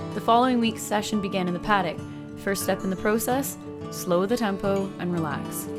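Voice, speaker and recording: With music in the background, a woman talks at a fairly quick pace. Her medium pitch shows ordinary variation. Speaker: horse trainer.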